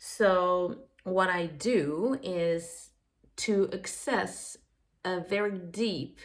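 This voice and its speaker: A woman speaks in a French accent at medium pitch. Her pace is very slow. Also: ordinary pitch variation. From France. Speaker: occult practitioner vlogger. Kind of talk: casual monologue. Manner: halting, many fillers.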